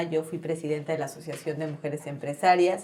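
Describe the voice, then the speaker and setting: There is noticeable background noise as a woman speaks with a Mexican accent. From Mexico, Chetumal and Mexico City. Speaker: politician, gubernatorial candidate. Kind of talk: interview.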